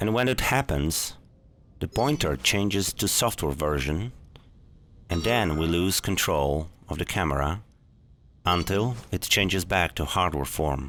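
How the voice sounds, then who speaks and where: Speaking with a non-native accent, a man uses a very deep, low pitch and lively intonation at a fairly slow pace, with long, frequent pauses and very even loudness, on a very clean recording with a silent background. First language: not English. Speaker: gaming tutorial youtuber. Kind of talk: tutorial.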